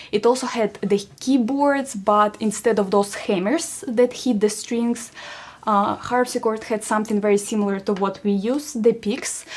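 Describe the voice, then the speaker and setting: In a Russian accent, a woman speaks at a moderate pace with fairly even intonation. Her pitch is fairly high, and there is noticeable background noise. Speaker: musician. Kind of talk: concert introduction to audience. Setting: livestream concert. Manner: halting with fillers.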